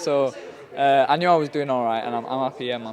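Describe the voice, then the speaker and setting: Noticeable background noise runs under a man's voice. His pitch varies in an ordinary way. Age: 20s. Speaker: professional boxer. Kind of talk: post-fight interview. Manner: halting.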